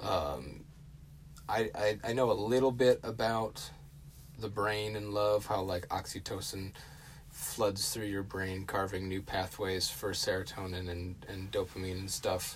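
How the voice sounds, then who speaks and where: A man's somewhat breathy, fairly low-pitched voice at a fairly slow pace, with ordinary pitch variation. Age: 20s. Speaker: podcast host. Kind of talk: casual solo talk. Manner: hesitant, many fillers.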